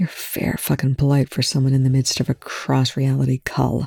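A put-on character voice with low-to-middle pitch and a hissing sound moves at a moderate pace. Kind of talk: crude, blunt. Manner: hissing, sharp.

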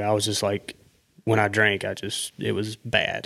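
A man speaks in a fairly low voice with a Southern US accent. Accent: Southern US, country. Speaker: guest. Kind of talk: casual chat.

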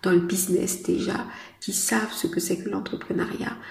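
Audible room echo and noticeable background noise accompany a woman talking fairly slowly. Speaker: business coach and podcast host. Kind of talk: solo podcast monologue. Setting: outdoors in city traffic.

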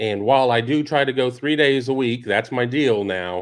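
Recorded very cleanly against a silent background, a man speaks at a moderate pace in an unremarkable speaking voice with ordinary pitch variation. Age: 50s. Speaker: college football podcast host. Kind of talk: solo commentary show.

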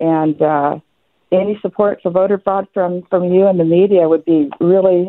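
A woman with an ordinary speaking voice talks at a moderate pace, fairly low in pitch and with ordinary pitch variation. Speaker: caller. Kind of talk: call-in talk radio opinion. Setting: phone call.

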